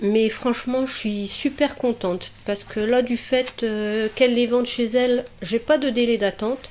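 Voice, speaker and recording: A woman speaks at a high pitch with fairly even intonation and hardly any pauses, over noticeable background noise. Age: 40s. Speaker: crafts hobbyist vlogger. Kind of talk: casual show-and-tell vlog. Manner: hesitant, many fillers.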